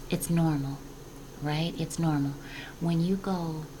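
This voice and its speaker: With audible room echo and noticeable background noise, a woman speaks at a fairly slow pace in a very deep, low pitch. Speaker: spiritual guidance vlogger. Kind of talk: casual spiritual talk. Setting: home office. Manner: whispering.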